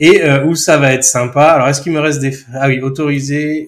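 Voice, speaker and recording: In a plain, everyday voice, a man of medium pitch talks at a fairly quick pace. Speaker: software trainer. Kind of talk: tutorial. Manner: casual, chatty.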